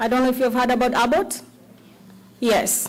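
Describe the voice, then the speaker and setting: Her voice is high in pitch. Audible room echo surrounds the woman as she speaks. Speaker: cookbook author and self-publisher. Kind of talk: conference talk. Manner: animated.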